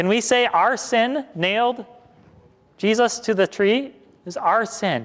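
A man in an Upper Midwest accent, high-pitched, at a very slow pace. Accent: Upper Midwest American. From Western Wisconsin. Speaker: pastor. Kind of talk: sermon. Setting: church. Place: church.

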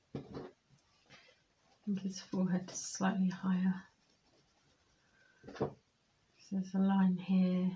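Soft-spoken and somewhat breathy, a woman talks in a calm tone with a dark, mellow sound, monotone, flat intonation and a fairly slow pace broken by long, frequent pauses, over light background noise. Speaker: amateur artist. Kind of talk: art tutorial narration, ASMR drawing commentary. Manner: soft-spoken, calm, slow. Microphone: phone near.

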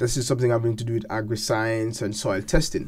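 A man's voice comes through with a dark, mellow tone and is somewhat breathy. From Jamaica, north coast (Falmouth); Jamaica. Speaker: gospel singer and seminary student; interviewee. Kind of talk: interview. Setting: studio. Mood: warm, reflective. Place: studio. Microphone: studio mic.

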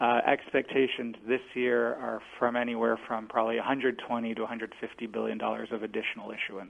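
Moderate pace with monotone, flat intonation. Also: man. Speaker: ETF product manager. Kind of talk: radio interview. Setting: phone call.

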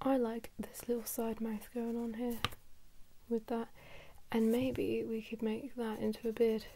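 The speaker is soft-spoken and talks at a fairly slow pace. Light background noise can be heard. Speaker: artist drawing tutorial host. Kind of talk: casual drawing commentary. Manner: soft-spoken, quiet ASMR voice.

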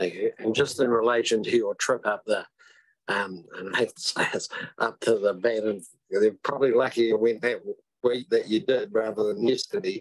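A man with a New Zealand accent talks at a moderate pace over a quiet background. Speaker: deputy mayor. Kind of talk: council meeting questions. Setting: council meeting room. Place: meeting room. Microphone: podium.

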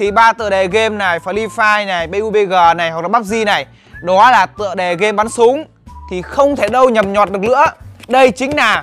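Faint music plays behind a man whose high-pitched voice has ordinary pitch variation and moves at a moderate pace. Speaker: toy review vlogger. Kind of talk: casual vlog chat. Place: street. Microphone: lapel.

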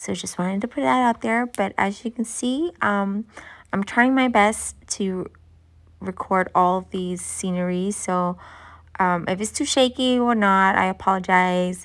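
A woman speaks at a fairly slow pace with ordinary pitch variation. The background is quiet. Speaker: travel vlogger. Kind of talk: casual vlog chat. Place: car. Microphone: phone near.

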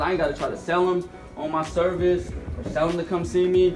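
A man's voice over clear background music. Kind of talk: informal lecture answering questions. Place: classroom. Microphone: camera far.

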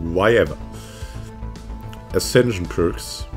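A man speaks with a very deep, low pitch and very wide pitch swings. Music plays in the background. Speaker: gaming YouTuber. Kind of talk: patch notes reading.

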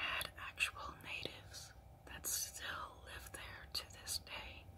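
A woman whispers at a very slow pace. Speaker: ASMR storyteller. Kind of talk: ASMR storytelling. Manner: soft-spoken. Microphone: phone near.

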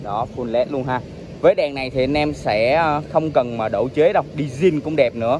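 This man's voice sounds dry with no echo, though noticeable background noise is present. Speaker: scooter reviewer. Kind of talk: product walkaround commentary. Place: street. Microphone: phone near.

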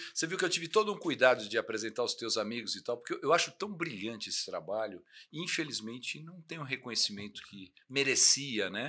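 Over a quiet background, a man with a bright, sharp tone talks at a fairly quick pace with hardly any pauses, very wide pitch swings and big swings in loudness. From Brazil. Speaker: motorcycle TV show host. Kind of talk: casual interview. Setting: home studio. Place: studio. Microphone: studio mic.

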